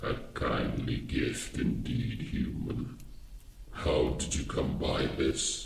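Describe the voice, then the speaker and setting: At a very slow pace, a man does a put-on character voice with a slight echo. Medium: read story. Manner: imperious, solemn.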